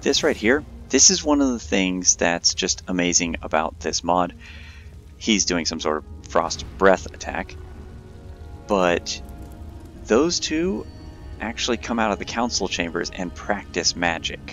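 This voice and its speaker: Music plays in the background as a man with a very deep, low pitch speaks at a fairly slow pace with lively intonation and long, frequent pauses. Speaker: gamer. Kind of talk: gameplay commentary. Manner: casual.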